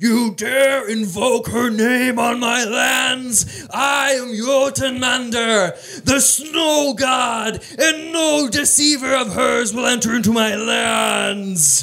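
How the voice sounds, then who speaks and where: Shouting in a put-on character voice, a man speaks at a very slow pace with an extremely high pitch. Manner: wrathful.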